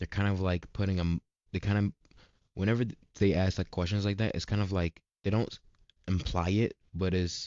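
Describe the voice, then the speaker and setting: A man is speaking. His intonation stays fairly even. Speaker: vlogger, student entrepreneur. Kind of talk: casual vlog update. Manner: halting, stumbling; casual slang-heavy.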